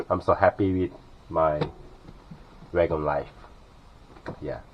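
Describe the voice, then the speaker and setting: Talking at a fairly slow pace, a man with a Korean accent has a very deep, low pitch and a monotone, flat intonation. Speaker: vlogger living in his car. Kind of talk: casual vlog tour. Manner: halting, many fillers.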